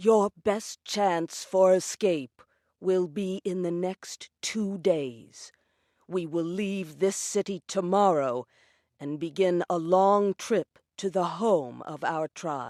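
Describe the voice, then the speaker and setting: Put-on character voice from a woman at medium pitch, very slow, in a very clean recording with a silent background. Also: ordinary pitch variation, dry, close sound with no echo. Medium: audio drama. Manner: calm, earnest.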